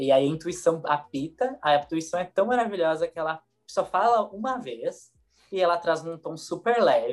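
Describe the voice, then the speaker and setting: A high-pitched man with lively intonation at a moderate pace, music in the background. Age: 20s. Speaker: holistic therapist. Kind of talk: casual chat.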